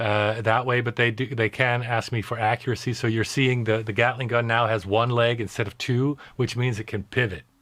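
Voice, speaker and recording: Over a quiet background, a man talks at a fairly quick pace with hardly any pauses and monotone, flat intonation. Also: medium pitch for a man. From Netherlands. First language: Dutch. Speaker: diorama maker. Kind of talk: live Q&A interview. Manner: halting.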